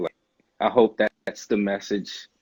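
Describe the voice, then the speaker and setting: A plain, everyday voice comes from a man with an American accent, fairly low in pitch and fairly quick in pace. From Newport News, Virginia. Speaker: rapper and army musician. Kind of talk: casual interview. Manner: casual, lots of filler words.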